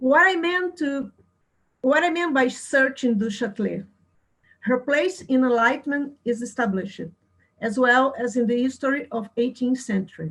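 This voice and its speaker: Speaking with a non-native accent, a woman uses lively intonation. Her pitch is high. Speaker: philosophy researcher. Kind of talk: lecture. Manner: slow; halting.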